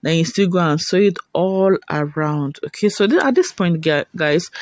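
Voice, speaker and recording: This man has a high-pitched voice and fairly even intonation, speaking at a moderate pace with a dry, close sound and no echo. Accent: non-native. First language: not English. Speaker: sewing tutorial creator. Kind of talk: tutorial. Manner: casual, chatty.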